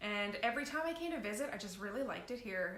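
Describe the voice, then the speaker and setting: A woman's fairly high, animated voice at a fairly quick pace, with audible room echo and noticeable background noise. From Newfoundland. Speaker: local events newsletter publisher. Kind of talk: casual chat. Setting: live video stream.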